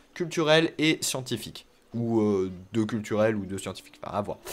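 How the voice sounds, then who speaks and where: A man speaks with lively intonation. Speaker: gaming youtuber. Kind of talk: let's play commentary. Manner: hesitant, many fillers.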